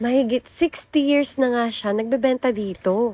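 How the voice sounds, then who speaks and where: A woman with an unremarkable speaking voice talks at a moderate pace with lively intonation, recorded with a dry, close sound and no echo. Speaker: food vlogger. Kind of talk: vlog narration.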